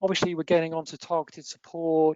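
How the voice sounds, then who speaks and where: Talking at a fairly quick pace with an English accent, a woman has a very deep, low pitch. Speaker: accountancy firm partner presenting webinar. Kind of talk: webinar presentation. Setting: online webinar.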